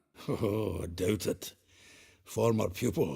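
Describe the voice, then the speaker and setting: Raspy and fairly low, a man's put-on character voice moves at a fairly slow pace. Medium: video game. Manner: hearty, chuckling.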